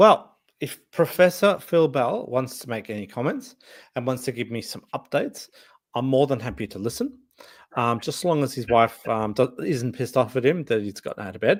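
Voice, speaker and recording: With an Australian accent, a man speaks at a medium pitch. His intonation is lively. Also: moderate pace, big swings in loudness. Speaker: livestream host. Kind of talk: casual chat. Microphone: new microphone.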